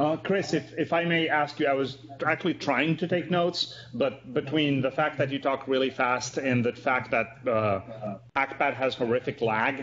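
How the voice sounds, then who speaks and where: A man with an ordinary speaking voice talks at a moderate pace and a fairly high pitch, his intonation fairly even and his loudness very even. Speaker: project lead. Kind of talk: team meeting.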